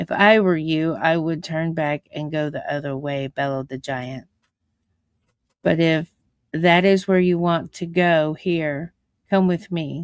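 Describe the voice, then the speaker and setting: A booming, put-on character voice at a middle pitch speaks at a fairly slow pace in a very clean recording with a silent background. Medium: read story. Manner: roaring but kindly.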